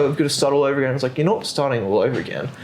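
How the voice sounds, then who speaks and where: A man talks with music playing in the background. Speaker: gym owner and fitness coach. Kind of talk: casual chat.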